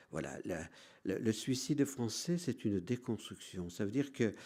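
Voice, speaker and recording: The voice has a dark, mellow tone with vocal fry. It moves at a fairly slow pace with very wide pitch swings. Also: man. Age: 60s. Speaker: priest. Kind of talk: lecture. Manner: halting.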